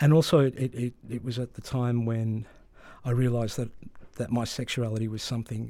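A man with an Australian accent and a dark, mellow tone, at a moderate pace with fairly even intonation, on a very clean recording with a silent background. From Melbourne, Australia, Greek migrant community. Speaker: novelist. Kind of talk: interview. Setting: studio.

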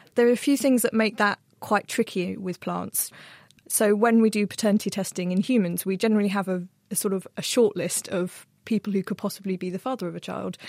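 On a very clean, dry, close recording with no echo and a silent background, a woman with an unremarkable speaking voice talks at a fairly quick pace, medium in pitch with fairly even intonation. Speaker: plant scientist and journal features editor. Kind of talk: casual panel Q&A. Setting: studio.

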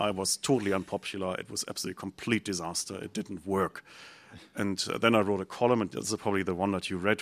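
In a very clean recording with a silent background, a man with a German accent talks very fast at a fairly low pitch. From Germany. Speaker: think tank director. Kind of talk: panel discussion.

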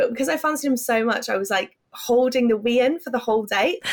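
The speaker is a woman with a high pitch. She talks at a fairly quick pace. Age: 20s. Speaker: dating columnist. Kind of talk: interview. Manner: casual, lots of fillers.

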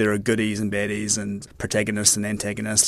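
With a New Zealand accent, a man speaks at a fairly low pitch and a fairly quick pace. The recording is very clean, with a silent background. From New Zealand, Tauranga. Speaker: investigative journalist. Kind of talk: casual chat. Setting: studio.

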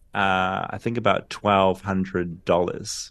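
A man speaks at a fairly slow pace with a New Zealand accent. The background is quiet. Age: 40s. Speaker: journalist. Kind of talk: interview.

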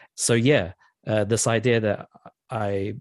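A man with a New Zealand accent, fairly even intonation and a quiet background. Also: dry, close sound with no echo. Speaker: composer. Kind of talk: interview. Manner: hesitant, many fillers.

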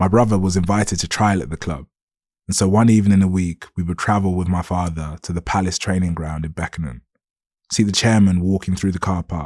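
Very clean and silent in the background, with a dry, close sound and no echo, a man speaks in a London accent at a fairly quick pace, his pitch very deep and low and his intonation fairly even. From south London, Lewisham. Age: 30s. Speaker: journalist. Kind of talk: reading aloud. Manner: formal.

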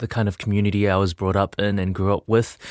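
A man with a New Zealand accent and a fairly low pitch is heard on a very clean recording with a silent background and a dry, close sound with no echo. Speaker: music producer and teacher. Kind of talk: interview. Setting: studio.

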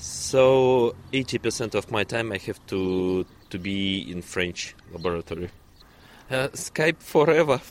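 This man speaks very slowly with a Russian accent. His pitch is fairly low and his intonation lively. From Russia, Kazan. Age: young. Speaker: neuroscientist. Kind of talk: interview. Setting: outdoors.

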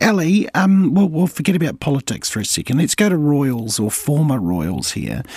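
Speaking in a New Zealand accent, a man with a fairly high pitch moves at a moderate pace with hardly any pauses and very wide pitch swings. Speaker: radio host. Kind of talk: live morning radio show presenting. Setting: radio studio.

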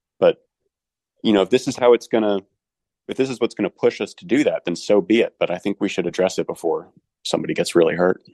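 A man with an American accent talks at a very fast pace broken by long, frequent pauses, in a dry, close sound with no echo. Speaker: former student magazine editor. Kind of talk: interview.

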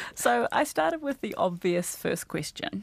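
A woman with a New Zealand accent speaks at a fairly low pitch. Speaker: radio podcast host. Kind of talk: casual chat.

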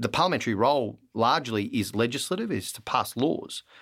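With an Australian accent, a man speaks at a moderate pace and medium pitch, his pitch varying in an ordinary way. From Australia (Melbourne). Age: 40s. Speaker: politician. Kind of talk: interview.

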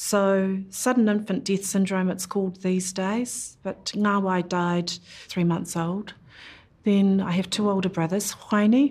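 Somewhat breathy, a woman with a New Zealand accent speaks fairly slowly at a medium pitch with ordinary pitch variation. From New Zealand, Whanganui (Putiki). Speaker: former politician and lawyer. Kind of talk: interview.

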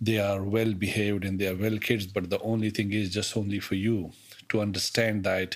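The speaker talks at a fairly quick pace in a monotone, flat intonation. Noticeable background noise runs underneath. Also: man. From Pakistan. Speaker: immigrant father, public servant. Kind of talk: family conversation. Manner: hesitant, many fillers.

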